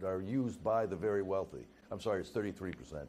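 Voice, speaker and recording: Over light background noise, a man talks in a dark, mellow tone. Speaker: campaign official. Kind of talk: interview answer. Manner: stuttering, stammering, hesitant. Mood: defensive, measured. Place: studio. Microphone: lapel.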